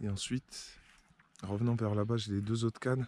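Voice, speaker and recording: Soft-spoken and fairly quick, a man talks with fairly even intonation in a dry, close sound with no echo. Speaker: carp fishing vlogger. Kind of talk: casual vlog narration. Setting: outdoors by a lake.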